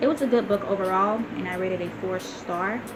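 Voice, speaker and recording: With ordinary pitch variation, a woman speaks amid audible room echo and noticeable background noise. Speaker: book reviewer vlogger. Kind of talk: casual book review. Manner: fast; halting with fillers.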